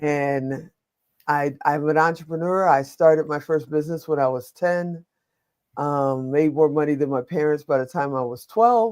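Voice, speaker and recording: A woman with an American accent, very deep and low in pitch, at a moderate pace with ordinary pitch variation. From Chicago, US Midwest. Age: 60s. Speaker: media producer, entrepreneur and veteran. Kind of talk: webinar panel interview. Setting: online webinar.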